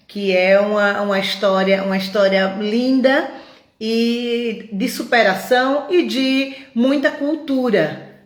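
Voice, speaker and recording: A woman speaks at a very slow pace with audible room echo. Noticeable background noise runs under her voice. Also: fairly high pitch for a woman, ordinary pitch variation. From Pernambuco, Brazil. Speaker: feminist collective live host. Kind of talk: live stream introduction. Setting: online live stream. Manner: halting, with repeated words and fillers.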